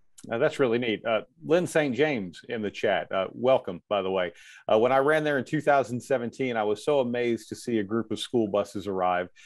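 At a moderate pace and with ordinary pitch variation, this is a plain, everyday voice against a quiet background. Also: man, medium pitch for a man. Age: 50s. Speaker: event host and interviewer. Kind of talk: interview.

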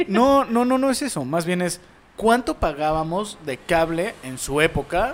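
A high-pitched man in a Mexican accent, speaking fairly slowly with very wide pitch swings. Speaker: podcast co-host. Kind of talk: casual chat.

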